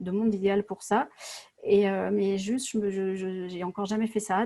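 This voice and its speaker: Medium pitch from a woman, the tone dark and mellow, the intonation fairly even. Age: 40s. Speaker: entrepreneur. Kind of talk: coaching session. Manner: halting.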